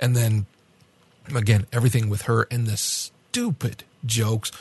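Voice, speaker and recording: A man's somewhat breathy, medium-pitched voice at a moderate pace, monotone and flat, with long, frequent pauses, in a dry, close sound with no echo. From France. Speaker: podcast co-host reviewing anime. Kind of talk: casual review discussion.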